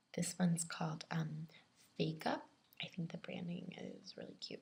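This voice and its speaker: Soft-spoken and whispering, a woman speaks at a moderate pace. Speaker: ASMR video creator. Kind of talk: ASMR makeup show and tell. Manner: whispered, soft-spoken.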